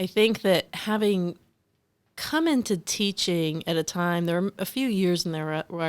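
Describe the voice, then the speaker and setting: The recording is very clean, with a silent background, as a woman speaks at a moderate pace and fairly low pitch. Her intonation stays fairly even. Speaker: professor and former journalist. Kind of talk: casual chat. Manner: loud.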